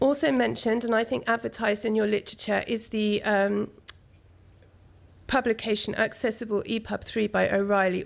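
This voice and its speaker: In a put-on character voice, a woman speaks hoarse and croaky at medium pitch and a fairly quick pace. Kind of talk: formal, professional presentation.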